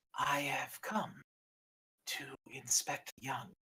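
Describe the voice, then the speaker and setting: Someone does a raspy put-on character voice at low-to-middle pitch. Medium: actual play. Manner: proud, fierce.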